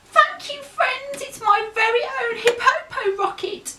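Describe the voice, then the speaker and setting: Putting on a squeaky character voice, a woman talks at an extremely high pitch. Her pace is fairly slow and her intonation lively. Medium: read story.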